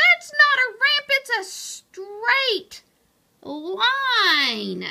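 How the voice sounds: A woman's put-on character voice, shouting and growling with vocal fry, extremely high in pitch, bright and sharp in tone, with big pitch swings, at a very slow pace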